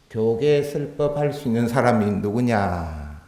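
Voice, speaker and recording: A man's medium-pitched voice, very slow and with lively intonation, in audible room echo. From Busan, Gyeongsang region, South Korea. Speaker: Buddhist monk giving a dharma talk. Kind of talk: sermon. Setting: temple hall with audience. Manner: conversational, with rhetorical questions.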